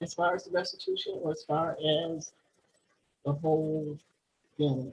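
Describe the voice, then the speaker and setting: Her voice is very deep and low, and somewhat breathy. The woman speaks at a fairly slow pace with monotone, flat intonation. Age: 60s. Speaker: panelist, formerly incarcerated. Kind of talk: panel discussion. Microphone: connection froze.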